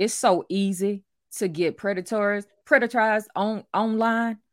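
This voice has a Louisiana accent and fairly even intonation. The recording is very clean with a silent background and a dry, close sound with no echo. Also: woman. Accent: Southern US, Louisiana. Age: 40s. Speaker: author and life coach. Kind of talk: casual chat.

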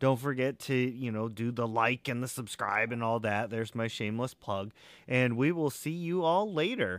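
An ordinary speaking voice, moderately paced with ordinary pitch variation, on a very clean recording against a silent background. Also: man, medium pitch for a man. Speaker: podcast host. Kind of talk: casual interview.

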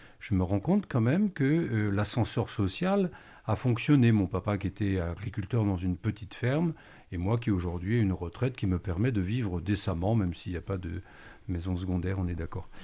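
On a very clean recording with a silent background, a man with a dark, mellow, somewhat breathy tone and a fairly low pitch speaks at a moderate pace. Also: ordinary pitch variation. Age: 60s. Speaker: retired primary school teacher. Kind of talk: radio panel discussion.

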